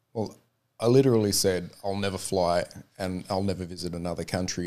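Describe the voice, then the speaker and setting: A man with an Australian accent and a fairly low pitch speaks at a fairly quick pace with fairly even intonation on a very clean recording with a silent background. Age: 40s. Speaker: mixed martial arts referee. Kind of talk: interview.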